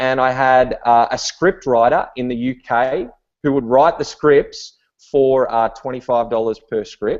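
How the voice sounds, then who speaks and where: Fairly slow delivery in an Australian accent, with fairly even intonation. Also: man, medium pitch for a man. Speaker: online business entrepreneur. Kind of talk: webinar talk. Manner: casual, many fillers and repetitions.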